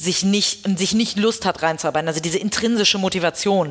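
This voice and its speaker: A woman talks at a moderate pace with a medium pitch and fairly even intonation. Noticeable background noise is present. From Hamburg, northern Germany. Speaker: headhunter and company founder. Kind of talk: interview.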